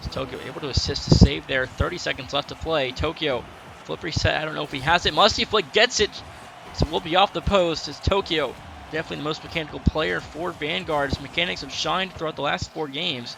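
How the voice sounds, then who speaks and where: Very fast, a man talks with big swings in loudness and ordinary pitch variation against noticeable background noise. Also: fairly high pitch for a man. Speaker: esports caster. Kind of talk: live commentary.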